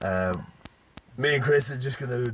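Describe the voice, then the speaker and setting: Speaking with a British accent, this man keeps a fairly slow pace. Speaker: podcast host. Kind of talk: casual chat.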